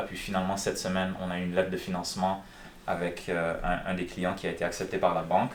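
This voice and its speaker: The pace is fairly quick. Audible room echo surrounds the voice. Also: man. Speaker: real estate broker. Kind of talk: live stream with phone calls. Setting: live stream. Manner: casual, conversational.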